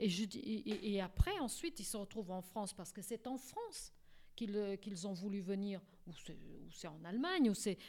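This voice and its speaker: A woman at medium pitch with a Portuguese accent, moderate pace, ordinary pitch variation and big swings in loudness. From Portugal. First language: Portuguese (speaking French). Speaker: court interpreter and translator. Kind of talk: radio interview. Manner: halting, many repetitions.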